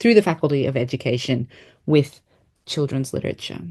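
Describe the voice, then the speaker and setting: A woman speaks in an Australian accent with ordinary pitch variation. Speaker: education researcher. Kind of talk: interview. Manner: hesitant with fillers.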